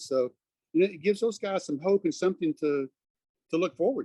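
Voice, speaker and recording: A man with an American accent, a dark, mellow tone, ordinary pitch variation and a fairly quick pace, dry and close with no echo. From Texas, north of Fort Worth. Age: 60s. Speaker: prostate cancer survivor. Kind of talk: interview.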